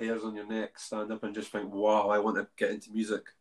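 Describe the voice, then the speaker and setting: Here is an unremarkable speaking voice. It moves at a fairly quick pace. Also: man. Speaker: podcast host. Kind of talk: casual interview chat.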